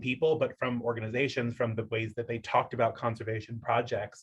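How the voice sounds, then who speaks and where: Somewhat breathy, a man with a medium pitch talks at a fairly quick pace. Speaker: conservation leadership student. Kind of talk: group discussion.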